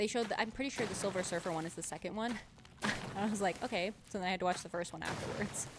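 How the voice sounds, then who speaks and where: Speaking very fast, a woman keeps a medium pitch with ordinary pitch variation. Background noise is noticeable. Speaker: streamer. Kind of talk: casual chat. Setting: live stream.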